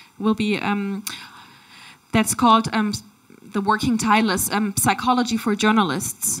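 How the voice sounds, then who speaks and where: Against noticeable background noise, a woman speaks at a moderate pace and fairly high pitch, with monotone, flat intonation and long, frequent pauses. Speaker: journalism trainer. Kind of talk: panel discussion answer.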